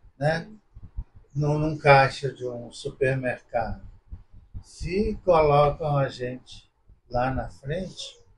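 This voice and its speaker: Speaking very slowly with long, frequent pauses, a man with a fairly high pitch sounds somewhat breathy and shows ordinary pitch variation. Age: 70s. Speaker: visually impaired interviewee. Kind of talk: casual interview.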